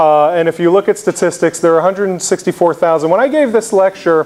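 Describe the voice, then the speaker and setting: A man with a New York accent and a high voice talks at a fairly quick pace with ordinary pitch variation over noticeable background noise. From New York City (the Bronx). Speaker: oncologist. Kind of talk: lecture. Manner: animated; loud.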